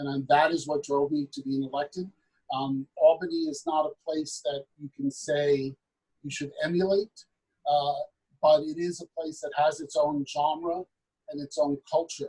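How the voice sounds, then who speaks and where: A man's fairly high, somewhat breathy voice with a dark, mellow tone and an American accent, at a moderate pace with fairly even intonation, in a dry, close sound with no echo. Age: 50s. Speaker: state legislator. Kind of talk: panel discussion.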